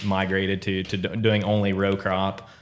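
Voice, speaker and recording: A man with a very deep, low pitch and a Southern Indiana accent, at a fairly slow pace. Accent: Southern Indiana drawl. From southern Indiana, near Greensburg. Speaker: crop insurance sales leader. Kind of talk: podcast interview.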